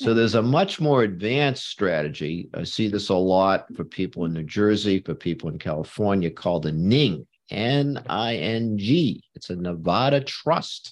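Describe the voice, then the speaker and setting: In a plain, everyday voice, a man speaks fairly low and fairly slowly with lively intonation and hardly any pauses, against a quiet background. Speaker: law professor and tax speaker. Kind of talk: interview discussion. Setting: video webinar.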